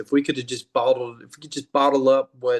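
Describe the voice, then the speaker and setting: This man talks with an American accent at a medium pitch. The sound is dry and close, with no echo. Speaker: rock band singer and songwriter. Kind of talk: casual interview.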